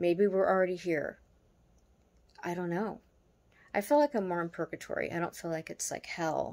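This is a woman speaking at a fairly low pitch. Her pitch varies in an ordinary way. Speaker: vlogger. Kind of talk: casual reflective vlog chat. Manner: slow, drowsy late-night musing. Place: home room. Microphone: phone near.

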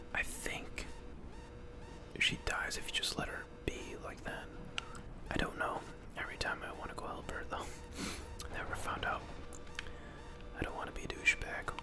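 Against noticeable background noise, the speech moves at a moderate pace with long, frequent pauses. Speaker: ASMR gaming creator. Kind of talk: whispered gameplay commentary.

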